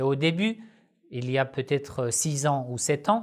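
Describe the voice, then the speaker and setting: Speech unfolds at a fairly slow pace in a very clean recording with a silent background. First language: not French (speaking French). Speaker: Shia Islamic religious teacher, YouTuber. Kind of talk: Q&A video monologue. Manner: halting, frequent hesitations.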